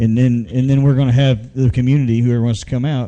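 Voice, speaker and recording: Fairly quickly, this man talks in a dark, mellow tone. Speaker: internet radio show host. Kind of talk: casual live show chat. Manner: loud.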